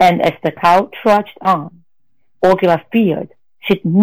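Fairly even in intonation, the speaker reads aloud in a natural voice.

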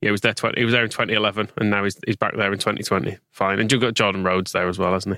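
In an English accent, a man talks very fast in a fairly low voice with a bright, sharp tone. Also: dry, close sound with no echo, very clean recording, silent background. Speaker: podcast co-host. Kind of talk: casual chat.

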